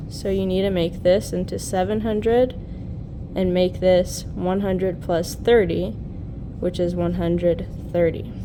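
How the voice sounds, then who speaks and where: Fairly slow speech with noticeable background noise and audible room echo. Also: woman. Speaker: teacher. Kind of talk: tutorial.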